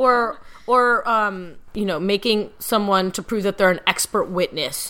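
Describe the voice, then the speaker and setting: At a fairly slow pace, a woman with an American accent talks in a bright, sharp tone, her fairly high pitch showing ordinary variation. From US Midwest. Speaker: podcast host and lawyer. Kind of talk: casual chat.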